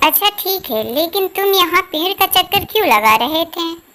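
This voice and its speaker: A squeaky, cartoonish character voice comes through at an extremely high pitch and a moderate pace. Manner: indignant, lecturing.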